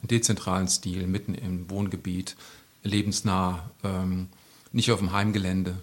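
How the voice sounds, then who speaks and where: A man's very deep, low voice holds fairly even intonation at a moderate pace in a very clean recording against a silent background. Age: 50s. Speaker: youth welfare worker. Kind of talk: casual interview.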